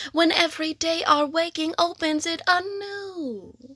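A woman uses a raised, projected voice with a bright, sharp tone and lively intonation at a very slow pace. The recording is very clean, with a silent background. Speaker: poetry reader. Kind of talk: spoken word blessing, reading a poem aloud. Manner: slow, tender, contemplative.

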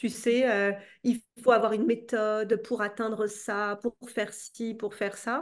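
A woman's fairly high, monotone, flat voice at a very slow pace against a quiet background. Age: 30s. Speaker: entrepreneur and coach. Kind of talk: casual interview. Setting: at home.

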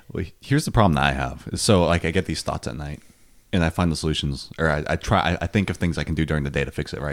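A very deep, low male voice with vocal fry, fairly even intonation and a very fast pace. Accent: American. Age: 19. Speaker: podcast co-host. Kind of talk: casual chat.

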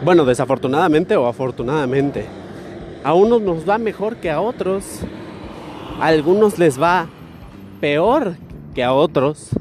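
Against noticeable background noise, a man with a fairly high pitch and lively intonation talks at a fairly slow pace, leaving long, frequent pauses. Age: 20s. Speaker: podcaster. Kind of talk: casual monologue. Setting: outdoors, walking.

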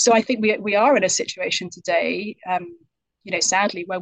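In a British accent, the words come at a moderate pace. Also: woman. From UK. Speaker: author. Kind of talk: interview answers.

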